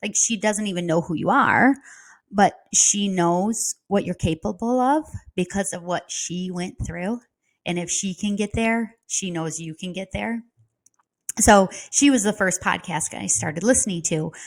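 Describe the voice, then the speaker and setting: A woman with a Midwestern accent speaks at a fairly slow pace. The recording is very clean, with a silent background. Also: medium pitch for a woman, ordinary pitch variation. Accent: Midwest. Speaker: real estate coach. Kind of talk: casual talk to camera. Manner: conversational, with fillers.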